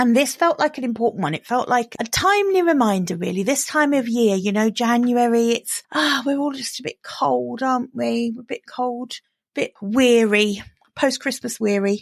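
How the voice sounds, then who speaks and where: A woman speaks with an English accent in a high voice with lively intonation. The sound is dry and close, with no echo. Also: moderate pace. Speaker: business coach podcaster. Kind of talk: solo podcast monologue. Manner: casual, chatty.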